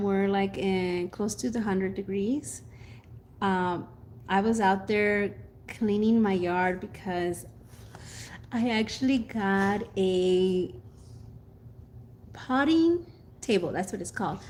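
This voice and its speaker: A woman speaks at medium pitch and a fairly slow pace, with ordinary pitch variation and long, frequent pauses. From Mexico. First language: Spanish. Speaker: gardening youtuber. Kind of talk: casual chat. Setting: live stream.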